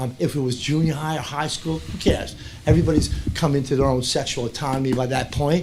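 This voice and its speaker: Very fast speech from a man with a fairly high pitch and fairly even intonation, against noticeable background noise. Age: 60s. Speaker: parent speaking in public comment. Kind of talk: public comment at school board meeting. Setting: school board meeting room.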